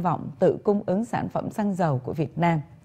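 A somewhat breathy woman at a moderate pace. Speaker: news anchor. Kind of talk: news reading. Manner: formal. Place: studio. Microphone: lapel.

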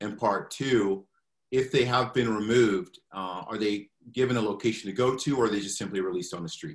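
A man speaks in a plain, everyday voice with a fairly low pitch and ordinary pitch variation. His pace is fairly quick, and the background is quiet. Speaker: meeting moderator. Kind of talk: moderated community meeting questions. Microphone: video call.

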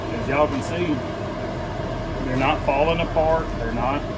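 Loud background noise behind a man talking. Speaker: homestead cooking vlogger. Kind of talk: casual vlog chat. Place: kitchen. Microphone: phone near.

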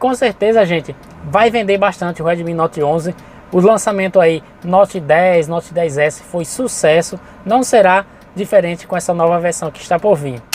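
With a Brazilian accent, a man speaks at a high pitch in a dry recording with no echo and light background noise. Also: ordinary pitch variation, moderate pace. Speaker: channel host and import reseller. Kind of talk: sales pitch, urgent promo patter pushing launch deals and coupons. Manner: informal, improvised, chatty, with frequent 'gente' and 'galera'. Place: car.

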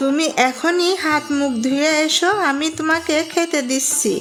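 Cartoonish character voice, female-sounding and high-pitched, at a fairly slow pace with clear background noise. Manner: gentle, homely.

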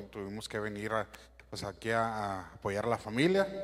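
The man's pitch is fairly low. He keeps a moderate pace. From Mexico, Sinaloa (Guamúchil); Sinaloa. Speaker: church musician. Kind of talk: church greeting. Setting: church. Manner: halting. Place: church.

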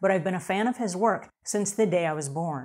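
Delivery comes at a fairly quick pace with ordinary pitch variation. The background is quiet. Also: woman. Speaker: cleaning show host. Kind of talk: show presenter talk. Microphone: lapel.

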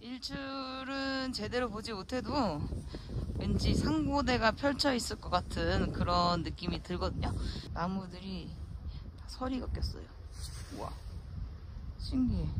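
Amid loud background noise, a woman talks at a very slow pace with long, frequent pauses, the sound dry with no echo. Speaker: hiking vlogger. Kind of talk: casual vlog chat. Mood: cheerful, amazed. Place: open country. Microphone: phone near.

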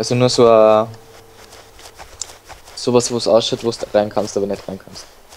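Music plays behind a man who speaks at a fairly slow pace in a medium pitch, his intonation monotone and flat. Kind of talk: let's play gaming commentary. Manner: casual, joking.

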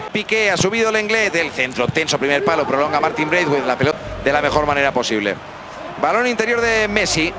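Against noticeable background noise, a man with a fairly high pitch speaks very fast in an animated, excited tone, his loudness very even while his pitch swings very widely. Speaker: football commentator. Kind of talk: live football commentary. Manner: rapid-fire, excited play-by-play; animated, rising intensity on shots and chances.

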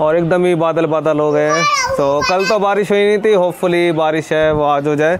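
There is a man with a fairly high voice. Faint background noise can be heard.

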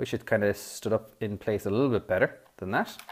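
At a moderate pace, a man speaks with an Irish accent. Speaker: toy review YouTuber. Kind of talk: product review. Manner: hesitant, many fillers.

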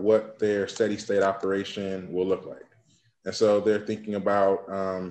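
A man speaks fairly slowly at a fairly low pitch with monotone, flat intonation. Audible room echo surrounds his voice. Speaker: guest. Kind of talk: interview answer. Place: home room. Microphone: webcam.

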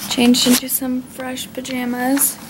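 A woman speaks at a high pitch and a fairly slow pace. There is light background noise. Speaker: vlogger. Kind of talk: casual vlog chat. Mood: cheerful, warm. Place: home room. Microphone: webcam.

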